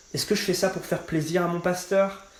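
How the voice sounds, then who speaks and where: A man keeps a moderate pace amid audible room echo and noticeable background noise. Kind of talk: testimony. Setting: podcast interview. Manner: casual, many fillers.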